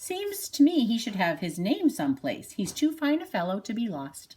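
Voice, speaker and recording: In a put-on character voice, the speaker moves at a moderate pace with very wide pitch swings. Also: woman, fairly high pitch for a woman. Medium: read story.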